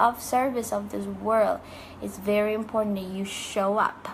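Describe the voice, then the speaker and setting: Her intonation is monotone and flat as the woman speaks at a medium pitch and a moderate pace. The room echo is audible. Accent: non-native. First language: not English. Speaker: life coach and author. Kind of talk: motivational talk to camera.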